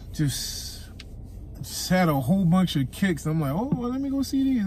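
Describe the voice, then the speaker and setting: A man's pitch swings very widely in a dry recording with no echo and light background noise. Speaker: vlogger. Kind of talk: casual vlog chat. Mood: amused, slightly disappointed. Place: car. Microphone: phone near.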